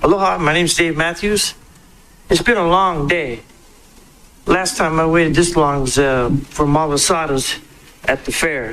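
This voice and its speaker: A man with a fairly high pitch speaks at a moderate pace with long, frequent pauses, ordinary pitch variation and very even loudness, in audible room echo. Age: 60s. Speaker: house cleaner testifying. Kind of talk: public testimony. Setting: public hearing.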